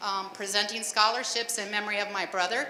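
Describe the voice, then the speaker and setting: A woman with an American accent and a fairly high pitch talks at a moderate pace, with audible room echo and noticeable background noise. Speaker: scholarship committee chairperson. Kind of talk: public address. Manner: loud.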